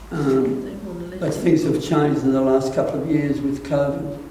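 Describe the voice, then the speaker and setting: A man with an Australian accent and a fairly high voice speaks at a fairly slow pace in a flat monotone. Noticeable background noise and audible room echo are present. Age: 80s+. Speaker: church council chairman. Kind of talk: interview. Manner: halting.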